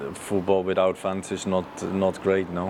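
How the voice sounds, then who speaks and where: A man's very deep, low voice with a Dutch accent, flat and monotone, over noticeable background noise. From Netherlands. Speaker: football goalkeeper coach. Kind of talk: interview. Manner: halting.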